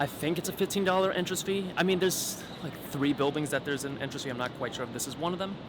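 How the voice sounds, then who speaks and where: A man's high-pitched, very fast speech with ordinary pitch variation and hardly any pauses, over noticeable background noise. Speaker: travel vlogger. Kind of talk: travel vlog narration. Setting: outdoors walking in city.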